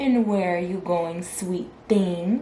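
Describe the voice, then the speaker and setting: Clear background noise sits under a woman's put-on character voice. Her pitch is medium. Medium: read story. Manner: smooth, sly, falsely polite.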